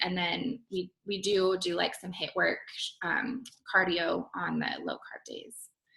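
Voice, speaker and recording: The speaker has an unremarkable speaking voice. Pitch varies in an ordinary way. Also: woman. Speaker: personal trainer. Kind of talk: live stream Q&A. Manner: casual, many fillers.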